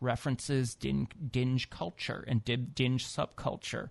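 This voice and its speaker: A normal speaking voice from a man at medium pitch and moderate pace, fairly even in intonation, with a dry, close sound with no echo and a quiet background. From US Midwest. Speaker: author. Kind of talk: radio interview. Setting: studio.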